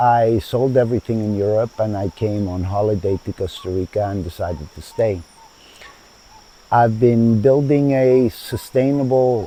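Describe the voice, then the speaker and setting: With a Spanish accent, a man speaks at a fairly slow pace, his medium pitch showing ordinary variation, amid noticeable background noise. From Chile, then United States from age 12. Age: 70s. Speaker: founder of a sustainable community. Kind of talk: interview. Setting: outdoors in a garden.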